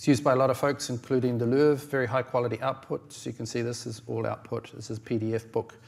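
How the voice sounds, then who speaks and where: A man with a New Zealand accent speaks at a medium pitch with fairly even intonation. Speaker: publishing technology founder and conference speaker. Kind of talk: conference presentation. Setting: stage with audience. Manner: fast; hesitant, many fillers.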